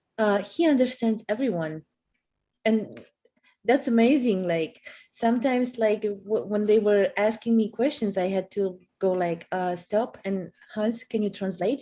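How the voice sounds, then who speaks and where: A woman's fairly high voice with a dark, mellow tone and ordinary pitch variation. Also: fairly slow pace. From Poland. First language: Polish. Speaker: co-host. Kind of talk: live stream chat. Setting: video call live stream.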